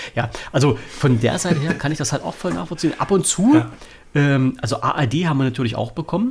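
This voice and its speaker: A man speaks at a fairly quick pace with lively intonation and a fairly high pitch. Noticeable background noise is present. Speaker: podcast host. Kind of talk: casual chat. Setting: remote call.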